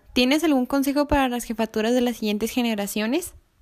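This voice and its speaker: A woman speaks in a high pitch. The recording is very clean with a silent background. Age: 20s. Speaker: youth movement leader interviewing a friend. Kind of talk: casual interview.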